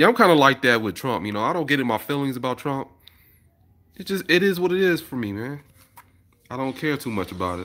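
A man's bright, sharp voice at a very fast pace, very wide pitch swings and long, frequent pauses. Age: 30s. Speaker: YouTuber and beat maker; YouTuber. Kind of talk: casual livestream chat with viewers. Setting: livestream from home, camera. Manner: casual, conversational. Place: home room. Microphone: phone near.

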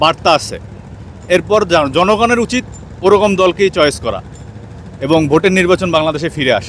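A man with a high pitch, ordinary pitch variation and big swings in loudness, over noticeable background noise. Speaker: interviewee in street vox pop. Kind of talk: street interview.

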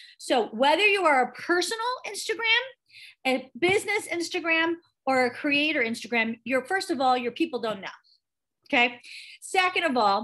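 Projecting a raised voice with a bright, sharp tone, a woman swings very widely in pitch against a quiet background. She keeps a moderate pace but leaves long, frequent pauses. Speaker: online class instructor. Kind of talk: tutorial. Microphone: video call.

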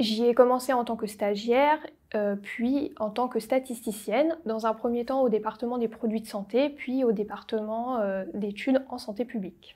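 A woman's fairly high voice with a dark, mellow tone, fairly even intonation, a moderate pace and a quiet background. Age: 20s. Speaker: statistician. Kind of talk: recruitment testimonial. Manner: formal. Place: office. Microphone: lapel.

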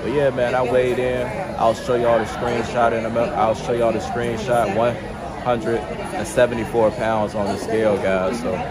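A man talks at a fairly slow pace. Crowd noise can be heard in the background. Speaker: food vlogger. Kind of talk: casual vlog chat. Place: cafe. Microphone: phone near.

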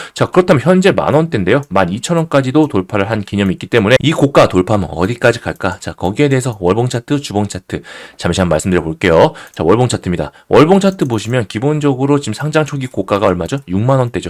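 With a dry, close sound and no echo, a man talks at a very fast pace and medium pitch, his voice swinging very widely in pitch with hardly any pauses. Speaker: crypto trading YouTuber. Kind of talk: market analysis video. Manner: animated.

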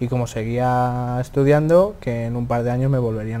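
In a dark, mellow tone, a man speaks at a moderate pace with ordinary pitch variation. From Spain. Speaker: student; interviewee. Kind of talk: interview. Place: studio. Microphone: lapel.

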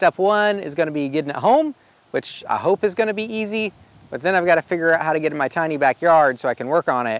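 A very fast, high-pitched male voice with lively intonation. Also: dry sound with no echo. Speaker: DIY video host. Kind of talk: tutorial. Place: garden.

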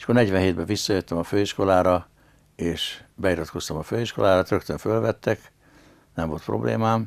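A man's very deep, low voice with vocal fry, ordinary pitch variation and a fairly quick pace over a quiet background. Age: 80s+. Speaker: dancer and businessman; interview guest, former actor. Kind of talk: interview. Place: studio.

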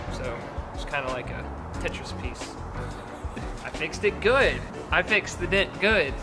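Clear music plays in the background. The speaking pace is moderate. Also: man. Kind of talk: interview answer. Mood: amused, storytelling. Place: garage.

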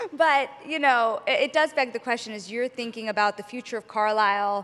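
A woman speaks at a fairly quick pace in a fairly high pitch. It is a normal speaking voice. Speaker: TV business journalist, panel moderator. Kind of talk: panel interview. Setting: stage with audience.

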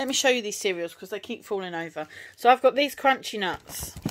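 A woman's lively intonation carries over noticeable background noise. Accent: English. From UK. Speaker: vlogger, mum; vlogger. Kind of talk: casual shopping haul vlog. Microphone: phone near.

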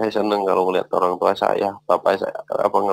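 A man with a Javanese accent at a fairly quick pace, dry sound with no echo against a quiet background. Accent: Javanese-tinged speech. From Central Java, Purworejo; Central Java. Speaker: caller. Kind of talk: personal testimony. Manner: halting.

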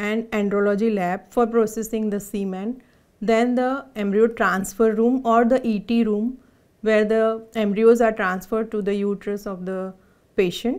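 Monotone, flat intonation comes with a Gujarati accent. The pace is fairly slow, and the background is quiet. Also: woman. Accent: Indian English (Gujarati). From India, Surat (Gujarat); Gujarat, India. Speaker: clinical embryologist; embryologist instructor. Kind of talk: presentation. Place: studio.

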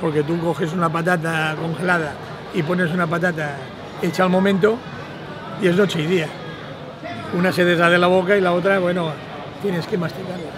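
A man talks at a fairly quick pace with a high pitch and monotone, flat intonation, leaving long, frequent pauses. The sound is dry with no echo, though noticeable background noise is present. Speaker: bar owner. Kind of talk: documentary interview. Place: street.

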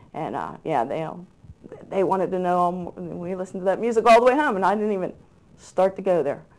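Speaking with an American accent, a woman moves at a fairly quick pace with lively intonation. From Pittsburgh, Pennsylvania. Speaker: church volunteer youth leader. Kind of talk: interview. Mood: earnest, somber at times. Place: studio. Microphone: lapel.

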